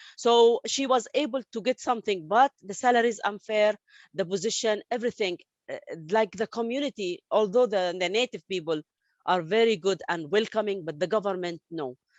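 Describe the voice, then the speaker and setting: A woman with an Arabic accent, fairly high pitch, ordinary pitch variation and a fairly quick pace. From Saudi Arabia, Palestinian family. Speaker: interviewee, refugee story. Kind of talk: interview testimony. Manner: halting, many fillers and restarts.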